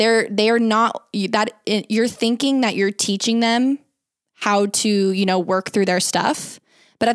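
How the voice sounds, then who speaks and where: A woman with a General American accent, an unremarkable speaking voice, fairly high pitch and a fairly slow pace, in a dry, close sound with no echo. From Arizona. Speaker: digital media consultant and podcast host. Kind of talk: casual interview.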